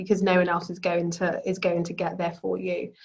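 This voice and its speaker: A woman with a London accent speaks at a medium pitch in a somewhat breathy voice. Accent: British (London). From London, England. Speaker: business executive and speaker. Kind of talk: panel talk. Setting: video call. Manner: halting, many fillers.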